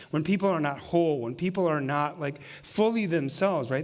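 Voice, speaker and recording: Audible room echo fills the space. A man speaks there with ordinary pitch variation. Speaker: pastor. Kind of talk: sermon. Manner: fast.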